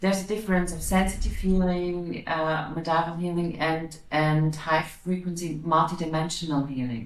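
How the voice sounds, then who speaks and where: Speaking in a German accent, a woman with a fairly low pitch keeps a moderate pace and fairly even intonation, with hardly any pauses, over noticeable background noise and audible room echo. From Austria. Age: 40s. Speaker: psychic medium and energy healer. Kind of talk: interview. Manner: halting, repeating words.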